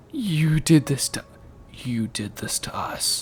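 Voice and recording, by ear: A put-on character voice sits at a low-to-middle pitch and moves at a very slow pace. Clear background noise runs behind it.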